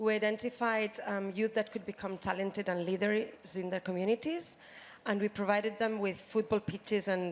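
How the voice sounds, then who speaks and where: In a Spanish accent, a woman with a medium pitch speaks with fairly even intonation. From Spain, Barcelona. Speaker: youth sports program representative. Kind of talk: panel interview. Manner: hesitant, many fillers.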